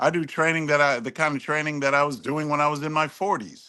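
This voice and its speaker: The background is quiet as a man speaks. His pitch is fairly high, and his tone is bright and sharp. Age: 60s. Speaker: political panelist. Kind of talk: panel debate. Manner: halting.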